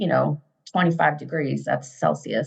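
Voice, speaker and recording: This woman talks at a fairly quick clip. She has an American accent. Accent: American accent, slightly toned down. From US, Maryland. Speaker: fundraising manager. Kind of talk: casual interview chat. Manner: animated.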